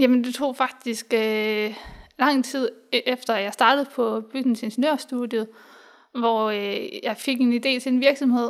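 A woman speaks at a very slow pace in a high pitch with ordinary pitch variation. The recording is very clean, with a silent background. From Denmark, Hobro (Jutland). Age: 20s. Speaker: software developer and engineer. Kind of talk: interview. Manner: hesitant, many fillers.

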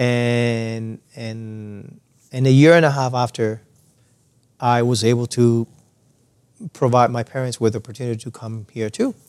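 A man speaks with a Spanish accent at medium pitch and a fairly slow pace. His intonation is monotone and flat, with big swings in loudness. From Cuba. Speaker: percussionist and music educator. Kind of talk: interview conversation. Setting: studio lounge.

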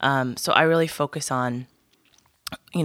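A woman with a very deep, low pitch and an American accent at a moderate pace, on a very clean recording with a silent background and a dry, close sound with no echo. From US Pacific Northwest, Whidbey Island. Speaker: branding consultant and educator. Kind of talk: interview conversation. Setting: studio.

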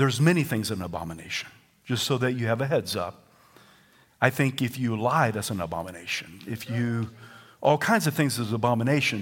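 A man with a Southern US accent talks at a fairly quick pace with lively intonation. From US South. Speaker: pastor. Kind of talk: sermon. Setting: church. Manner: animated.

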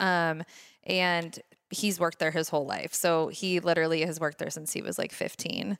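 With an American accent, a woman speaks at a moderate pace in a fairly low pitch and a monotone, flat intonation, recorded very cleanly over a silent background. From Laguna Beach, California. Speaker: local shop owner. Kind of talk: casual interview chat.

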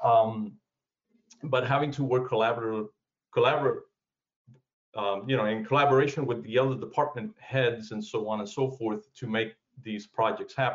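A man at medium pitch and a fairly quick pace, with fairly even intonation and long, frequent pauses. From South Florida (born in Cuba). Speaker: construction educator and manager. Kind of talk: interview. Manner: halting, many fillers.

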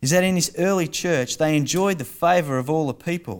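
A man with an Australian accent speaks at a moderate pace in a fairly high voice, using ordinary pitch variation, on a very clean recording with a silent background. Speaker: church pastor or preacher. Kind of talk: sermon and prayer in church service. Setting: church.

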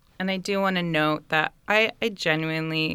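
This very clean recording has a silent background and a woman with a very deep, low pitch. Her tone is bright and sharp, her intonation fairly even, and her pace moderate. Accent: American. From US West Coast, San Francisco Bay Area. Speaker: doula. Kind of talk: casual chat.

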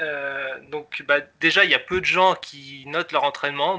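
A man's fairly high-pitched, fairly even delivery in a plain, everyday voice. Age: 20s. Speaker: software developer, app creator. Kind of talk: casual interview.

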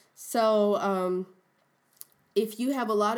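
Here a woman speaks at a fairly high pitch. The pitch variation is ordinary. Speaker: podcast co-host. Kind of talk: casual chat.

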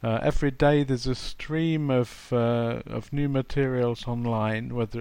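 This man speaks with an English accent at a medium pitch and a moderate pace, his intonation fairly even. His tone is dark and mellow, and the background is quiet. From England. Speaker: English teacher and materials writer. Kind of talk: interview.

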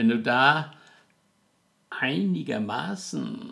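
The speaker is a man. His intonation shows ordinary pitch variation. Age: 80s+. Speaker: podcast host's father. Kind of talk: casual chat. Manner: halting.

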